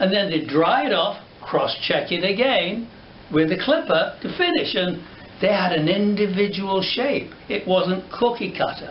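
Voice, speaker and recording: With audible room echo and noticeable background noise, a man speaks fairly slowly in a high pitch with lively intonation. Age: 70s. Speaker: hairdresser and educator. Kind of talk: tutorial. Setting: studio. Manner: animated.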